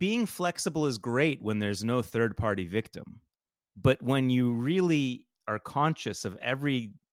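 A natural reading voice with lively intonation against a quiet background

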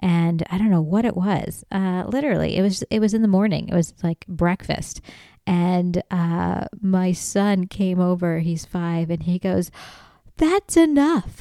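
The tone is dark and mellow, with ordinary pitch variation. The recording is very clean, with a silent background. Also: woman, medium pitch for a woman, fairly slow pace. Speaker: podcaster and aspiring comedian. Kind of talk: casual comedic monologue. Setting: home room, solo recording. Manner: loud, animated, passionate.

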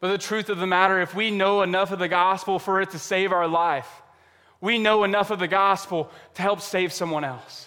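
A man with a high pitch and a bright, sharp tone speaks in a raised, projected voice at a fairly quick pace. His intonation is fairly even, in a very clean recording with a silent background. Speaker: pastor. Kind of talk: sermon. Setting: church service.

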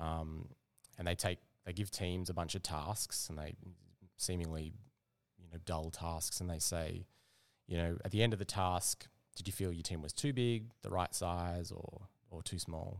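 With an Australian accent, a man speaks at a moderate pace in a very deep, low pitch, with fairly even intonation and long, frequent pauses, on a very clean recording with a silent background. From Western Australia, Perth. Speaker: product manager. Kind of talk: casual interview. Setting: cafe.

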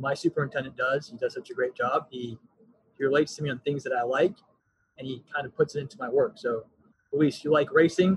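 Breaking his very fast speech with long, frequent pauses, a man with a fairly high, somewhat breathy voice shows ordinary pitch variation and big swings in loudness. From Texas (Frisco area). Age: 20s. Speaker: parks and recreation coordinator. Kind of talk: podcast interview.

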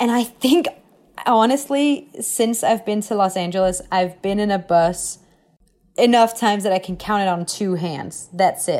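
In a Danish accent, a woman speaks at a medium pitch with lively intonation. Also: fairly slow pace. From Denmark. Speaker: actress. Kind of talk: interview.

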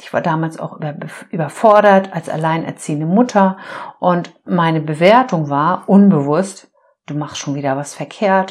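A woman with a plain, everyday voice talks at a moderate pace in a fairly low pitch, with ordinary pitch variation and big swings in loudness. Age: 50s. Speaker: life coach and podcast host. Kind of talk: solo podcast monologue. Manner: warm, heartfelt.

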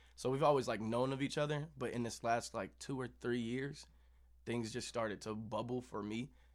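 This man has a plain, everyday voice at a medium pitch. He speaks at a moderate pace with fairly even intonation. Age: 20s. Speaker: musician. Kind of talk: casual chat.

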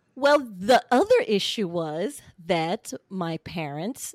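In a dry, close sound with no echo, a woman with an American accent speaks at a medium pitch on a very clean recording with a silent background. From central Florida. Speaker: podcaster, divorcee sharing her story. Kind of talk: personal testimony interview.

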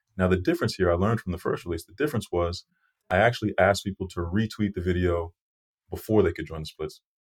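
Talking very fast in an American accent, a man with a very deep, low pitch and ordinary pitch variation shows big swings in loudness, on a very clean, dry, close recording with a silent background and no echo. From Massachusetts (Brockton, near Boston). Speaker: startup founder and engineer. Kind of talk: interview.

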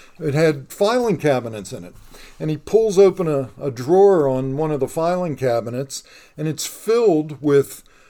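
A dark, mellow voice in a Pittsburgh accent, at a moderate pace, with lively intonation and big swings in loudness. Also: man. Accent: western Pennsylvania (Pittsburgh). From Pittsburgh, western Pennsylvania. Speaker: local historian and YouTube creator. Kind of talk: casual interview. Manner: halting, many fillers and repeats.

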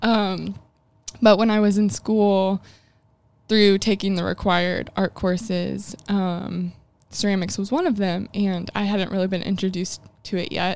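Speaking in a Midwestern American accent, a woman uses a medium pitch and monotone, flat intonation. Her pace is moderate, broken by long, frequent pauses. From US Midwest, rural Illinois. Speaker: ceramic artist and studio owner. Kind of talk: casual interview.

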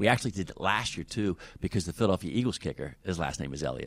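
A man with an American accent speaks very fast in a very deep, low voice with vocal fry. His intonation is lively. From Wheeling, West Virginia (Ohio Valley). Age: 50s. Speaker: sports team communications director. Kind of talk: interview. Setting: team facility press conference room.

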